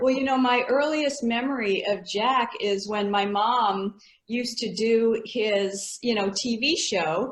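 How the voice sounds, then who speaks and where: A woman with a plain, everyday voice speaks fairly slowly at a fairly high pitch, with ordinary pitch variation and hardly any pauses. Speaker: fitness association co-founder, interviewer. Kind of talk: interview questions, casual conversation.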